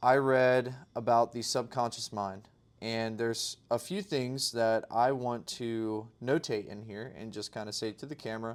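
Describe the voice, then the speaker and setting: A man with a normal speaking voice talks at a fairly slow pace and medium pitch, his intonation fairly even but his loudness swinging widely, on a very clean recording with a silent background. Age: 20s. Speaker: day trader video diarist. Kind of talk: casual video diary to camera.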